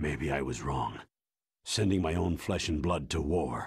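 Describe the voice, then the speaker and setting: Growling in a put-on character voice, a man speaks at a moderate pace with a very deep, low pitch and ordinary pitch variation. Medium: video game. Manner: measured, weary.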